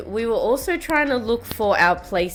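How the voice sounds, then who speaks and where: Over noticeable background noise, a woman talks at a moderate speed. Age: 30s. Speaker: vlogger and scientist. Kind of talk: vlog narration. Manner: casual, chatty.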